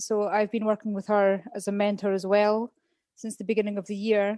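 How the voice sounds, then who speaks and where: A woman with a Scottish accent speaks in a monotone, flat intonation. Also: dry, close sound with no echo. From Scotland. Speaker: former English teacher, podcast guest. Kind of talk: casual interview chat.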